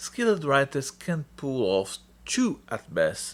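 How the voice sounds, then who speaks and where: Speaking with a non-native accent, a man makes very wide pitch swings. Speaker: film reviewer. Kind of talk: online film review narration.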